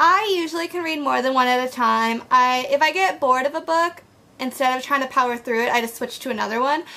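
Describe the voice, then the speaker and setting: With a raised, projected voice, a woman speaks at a high pitch. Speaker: book vlogger. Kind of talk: casual vlog monologue. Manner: fast; animated.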